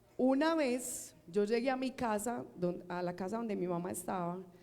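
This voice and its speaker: Room echo is audible as a woman speaks at a fairly slow pace. Her medium-pitched voice has lively intonation. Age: old. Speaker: preacher. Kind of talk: sermon.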